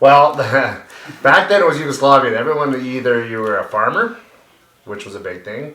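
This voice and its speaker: Through audible room echo, a man with a Canadian accent speaks at a moderate pace and medium pitch, his intonation lively, his loudness swinging widely, with long, frequent pauses. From Canada, Yellowknife (Northwest Territories). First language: Bosnian. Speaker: youth hockey coach. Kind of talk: casual chat.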